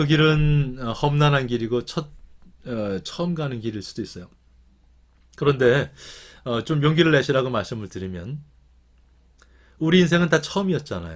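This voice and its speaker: This man talks at a moderate pace with fairly high pitch and lively intonation, broken by long, frequent pauses. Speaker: professor. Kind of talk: lecture. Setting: video call. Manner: hesitant fillers.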